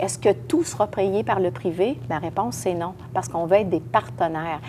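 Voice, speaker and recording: Against noticeable background noise, a woman with a fairly low pitch talks at a moderate pace, her pitch swinging very widely. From Quebec, Lévis area. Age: 60s. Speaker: municipal politician, mayoral candidate. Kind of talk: interview. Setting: podcast recording.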